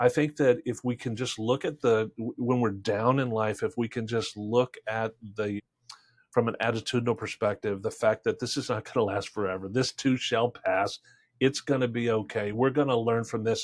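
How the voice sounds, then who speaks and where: Here a man has an unremarkable speaking voice at a medium pitch. He holds a moderate pace with fairly even intonation. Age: 60s. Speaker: sales trainer and Marine veteran. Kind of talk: podcast interview.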